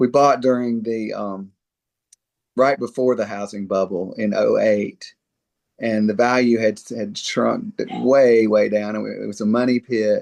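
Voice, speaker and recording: A man speaks with a Mississippi accent at a medium pitch. His pace is fairly slow and his intonation fairly even. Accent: Southern US (Mississippi). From US South, Mississippi. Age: 60s. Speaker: dentist. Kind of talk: interview conversation. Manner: halting, many fillers.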